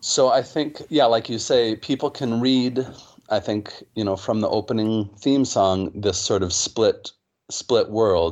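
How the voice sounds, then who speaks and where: A man with an American accent at medium pitch and a fairly slow pace, with ordinary pitch variation and an ordinary speaking voice. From United States. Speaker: music professor. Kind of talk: interview.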